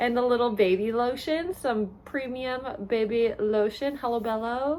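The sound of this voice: A woman's fairly high voice, slightly mellow in tone, with ordinary pitch variation and a fairly slow pace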